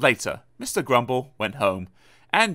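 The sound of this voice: The voice heard here is an unforced reading voice.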